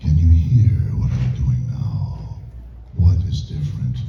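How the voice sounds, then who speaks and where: A man puts on a character voice with a very deep, low pitch and a fairly slow pace. A strong echo surrounds him, and clear background noise is present. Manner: menacing.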